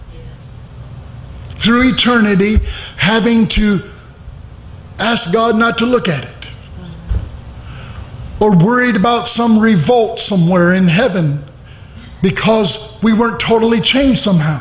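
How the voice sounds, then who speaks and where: A man at a very slow pace, with audible room echo. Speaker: preacher. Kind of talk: sermon. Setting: church; stage with audience. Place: church. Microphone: podium.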